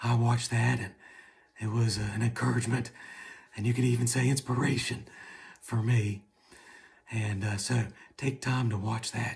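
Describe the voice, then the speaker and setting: Over light background noise, a man speaks somewhat breathily in a monotone, flat intonation with long, frequent pauses. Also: moderate pace. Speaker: patient sharing his story. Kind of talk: casual talk to camera. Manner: runs out of breath while talking. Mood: hopeful, calm. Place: home room. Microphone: phone near.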